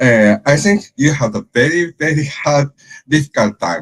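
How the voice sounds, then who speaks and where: The sound is dry and close, with no echo. A man with a Japanese accent speaks in a somewhat breathy voice. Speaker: sports event organizer. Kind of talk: presentation. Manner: halting.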